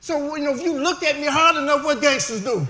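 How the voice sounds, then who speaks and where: Amid audible room echo and noticeable background noise, a man uses a raised, projected voice at an extremely high pitch, speaking fairly quickly with fairly even intonation. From US Midwest, Detroit. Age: 60s. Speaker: formerly incarcerated speaker. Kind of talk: testimony. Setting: stage with audience.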